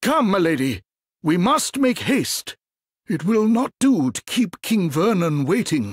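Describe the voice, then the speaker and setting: Using a put-on character voice, a man speaks high for a man at a fairly slow pace, his pitch swinging very widely, with a dry, close sound and no echo. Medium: video game. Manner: formal, archaic phrasing.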